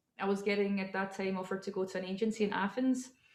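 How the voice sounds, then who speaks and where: Talking very fast with monotone, flat intonation, a woman speaks at medium pitch in a Scottish accent. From Scotland. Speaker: model and entrepreneur. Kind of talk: interview.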